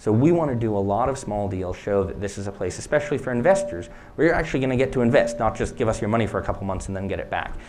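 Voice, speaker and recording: A man with an American accent at a medium pitch, very fast and with hardly any pauses, lively intonation, audible room echo and noticeable background noise. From United States. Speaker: startup CEO and co-founder. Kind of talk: conference Q&A answer.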